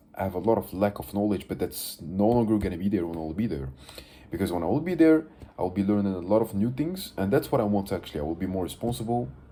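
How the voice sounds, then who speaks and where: In a Moroccan accent, a man speaks at a very fast pace with a fairly low pitch and lively intonation. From Morocco. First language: Moroccan Arabic (Darija). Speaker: vlogger. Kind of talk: casual video diary monologue. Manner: halting, many fillers.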